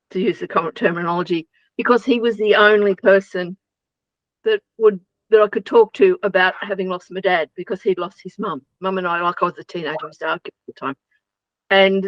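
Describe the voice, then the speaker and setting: With an Australian accent, a woman talks at a fairly quick pace and medium pitch, keeping her intonation fairly even. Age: 70s. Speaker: interview guest. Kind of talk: interview, personal testimony. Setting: radio show.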